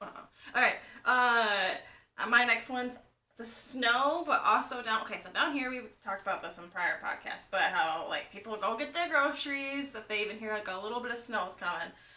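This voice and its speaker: A woman's fairly high, bright, sharp voice with lively intonation and big swings in loudness, plus audible room echo. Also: moderate pace. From Michigan. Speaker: podcast co-host. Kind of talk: casual chat.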